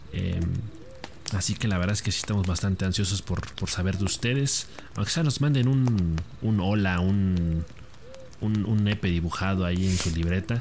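Through noticeable background noise, a man speaks at a moderate pace with long, frequent pauses, a very deep, low pitch, ordinary pitch variation and very even loudness. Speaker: co-host. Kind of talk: casual chat. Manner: informal, laughing, joking.

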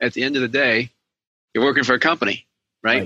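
A man speaks in a fairly high pitch with a bright, sharp tone, and the sound is dry and close with no echo. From Puerto Rico, later New England. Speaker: retired finance executive, debt elimination coach. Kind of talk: interview podcast. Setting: video call.

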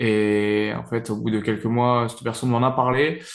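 Here a man has a normal speaking voice. His pitch is medium and his pace moderate. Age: 20s. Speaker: powerlifting athlete and coach. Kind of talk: interview.

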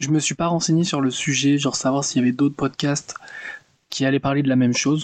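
A man talks with a fairly high pitch in a monotone, flat delivery. The sound is dry and close, with no echo. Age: 20s. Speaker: book podcaster. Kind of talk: casual monologue. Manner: casual, hesitant.

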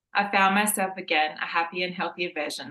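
Talking at a fairly quick pace, a woman with an Australian accent uses ordinary pitch variation. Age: 40s. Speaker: running podcast co-host. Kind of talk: scripted narration.

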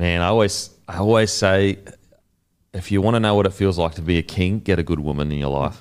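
A fairly quick pace with ordinary pitch variation and an Australian accent. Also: man, very deep, low pitch for a man. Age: 30s. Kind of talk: casual chat.

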